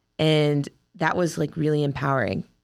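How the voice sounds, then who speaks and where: Recorded very cleanly over a silent background, a woman with an American accent speaks at a moderate pace in a very deep, low pitch. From Ohio, US Midwest. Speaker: wrestler. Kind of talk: interview.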